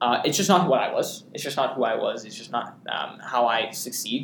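Here is a man with an unremarkable speaking voice. His pitch sits in the medium range. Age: young. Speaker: student podcast host. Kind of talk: casual chat.

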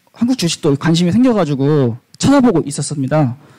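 A man with a dark, mellow tone and a fairly high pitch talks at a fairly slow pace. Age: 20s. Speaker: audience member. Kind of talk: audience question.

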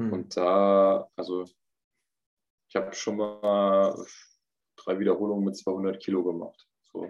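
A man with a fairly low voice talks very slowly in a flat monotone, stopping often for long pauses. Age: 20s. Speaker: professional volleyball player. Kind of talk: casual interview.

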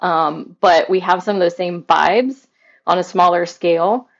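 A woman with an American accent. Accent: slight Southern, mostly hidden. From US South, Mobile, Alabama. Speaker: realtor and podcaster, trained singer. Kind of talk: interview conversation.

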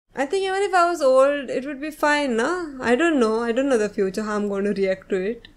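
A woman's high voice, fairly quick with hardly any pauses and very wide pitch swings, amid noticeable background noise. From Goa, India. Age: 20s. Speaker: fashion designer and content creator. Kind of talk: casual interview.

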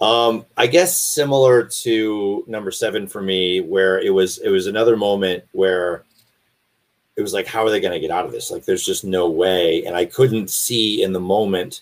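A man speaks at a moderate pace with fairly low pitch. He has a plain, everyday voice. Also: ordinary pitch variation. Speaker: voice actor. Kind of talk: interview.

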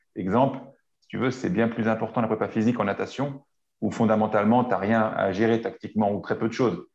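The setting behind the voice is quiet. A man speaks at a medium pitch. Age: 40s. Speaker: strength and conditioning coach. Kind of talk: interview. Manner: halting.

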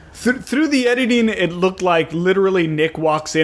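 A man talks at a moderate pace in a high pitch, his intonation lively, while noticeable background noise plays behind him. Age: 30s. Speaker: podcast co-host. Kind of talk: casual chat.

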